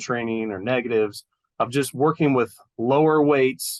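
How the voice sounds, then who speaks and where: In a dry, close sound with no echo, a man uses an ordinary speaking voice at medium pitch, with ordinary pitch variation and a moderate pace. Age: 40s. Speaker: personal trainer, gym owner. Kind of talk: casual interview chat.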